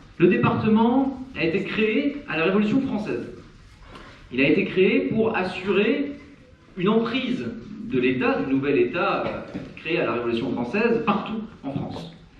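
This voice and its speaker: Long, frequent pauses break up the fairly slow speech, which has very wide pitch swings. Audible room echo and noticeable background noise are present. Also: man, high pitch for a man. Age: 30s. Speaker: local election candidate. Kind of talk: campaign speech at public meeting. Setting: public meeting hall. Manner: hesitant, many filler sounds.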